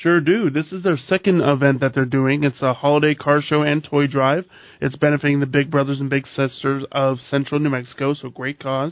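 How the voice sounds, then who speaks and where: This is an unremarkable speaking voice at a fairly quick pace. It runs on with hardly any pauses. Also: man, fairly high pitch for a man. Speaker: co-host. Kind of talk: casual radio banter. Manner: upbeat, chatty.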